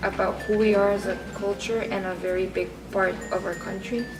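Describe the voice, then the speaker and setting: Music plays behind a woman speaking at a fairly quick pace. Her medium-pitched voice carries audible room echo. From Costa Rica. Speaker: international student. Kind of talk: interview.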